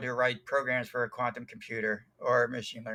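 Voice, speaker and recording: At a moderate pace, a man speaks with a bright, sharp tone. His medium-pitched voice stays monotone and flat. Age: 60s. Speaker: tech author and programmer. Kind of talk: interview. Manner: halting, many fillers.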